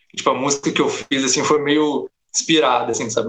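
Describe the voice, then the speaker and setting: A fairly quick pace from a man with a fairly high pitch. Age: 20s. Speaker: game audio student. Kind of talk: casual chat. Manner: hesitant with many fillers.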